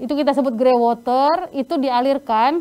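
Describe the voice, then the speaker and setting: Here a woman speaks with a strong North Sumatran accent. Her pitch is high. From North Sumatra, Indonesia. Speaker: sanitation trainer. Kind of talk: online training lecture.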